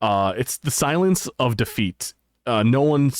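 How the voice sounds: The backdrop is quiet. A reading voice sounds natural, its intonation lively.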